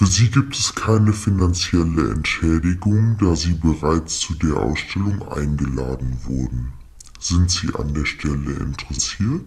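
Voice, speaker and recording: With clear background noise behind him, a man speaks at a moderate pace in a very deep, low voice. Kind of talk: formal official German speech. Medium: comedy sketch. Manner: polite, businesslike, matter-of-fact about no payment.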